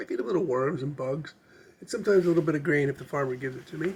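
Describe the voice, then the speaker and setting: A man puts on a raspy character voice, fairly high in pitch, and rattles along at a very fast pace. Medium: solo performance. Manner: plain, folksy.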